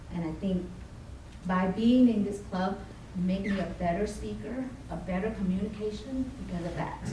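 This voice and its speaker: Audible room echo and noticeable background noise surround a voice moving at a moderate pace with fairly even intonation. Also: woman, medium pitch for a woman. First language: not English. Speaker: toastmasters club member presenting. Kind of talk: club presentation. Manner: halting.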